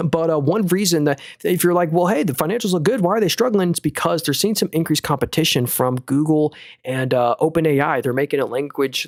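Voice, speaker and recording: Speaking at a very fast pace, a man uses lively intonation in a fairly high pitch. The very clean recording has a silent background and a dry, close sound with no echo. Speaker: stock market streamer. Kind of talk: live stream commentary. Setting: live stream. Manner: casual.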